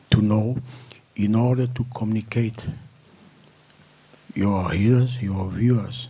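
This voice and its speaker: A man with a non-native accent, fairly slow and flat in intonation, with long, frequent pauses and audible room echo. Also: medium pitch for a man. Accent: non-native accent, self-noted. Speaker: press club board member introducing speaker. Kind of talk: press conference introduction. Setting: press club conference room, web streamed. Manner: hesitant, with fillers.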